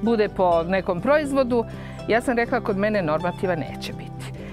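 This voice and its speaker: Clear music plays in the background as a woman talks. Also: dry sound with no echo. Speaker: rural guesthouse host. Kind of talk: interview answer. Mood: proud, warm. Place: garden. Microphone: lapel.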